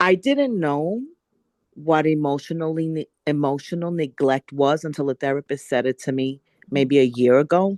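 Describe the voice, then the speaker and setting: A woman with a New York accent has a very deep, low voice, recorded with a dry, close sound, no echo and a quiet background. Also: ordinary pitch variation, moderate pace. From New York City. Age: 60s. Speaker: workshop participant. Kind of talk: personal testimony. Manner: emphatic.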